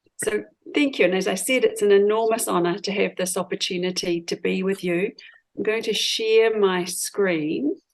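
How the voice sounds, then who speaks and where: A woman with a New Zealand accent, medium pitch, ordinary pitch variation and a moderate pace. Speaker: law professor. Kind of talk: lecture. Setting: video call.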